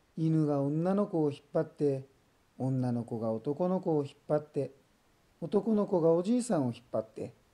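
The voice has a dark, mellow tone and a calm, gentle manner, with lively intonation. It moves at a moderate pace. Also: man, fairly high pitch for a man. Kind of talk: bedtime story reading for children. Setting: voice only.

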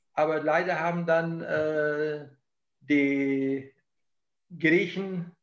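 A man speaks with fairly even intonation. Audible room echo surrounds his voice over a quiet background. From southern Germany (Ulm, Allgäu); southern Germany. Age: 70s. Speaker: historian; interviewee. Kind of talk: interview. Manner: halting. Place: office. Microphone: video call.

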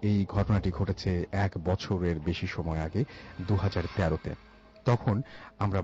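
A man speaks with a very deep, low pitch. His voice is somewhat breathy, with a dark, mellow tone. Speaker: radio show host reading listener stories. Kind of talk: horror story narration on radio show.

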